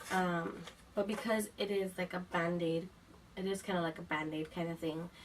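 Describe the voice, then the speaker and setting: Against noticeable background noise, a woman speaks at a moderate pace and fairly low pitch, her loudness very even and her intonation monotone and flat. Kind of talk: casual talk to camera. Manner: casual, hesitant.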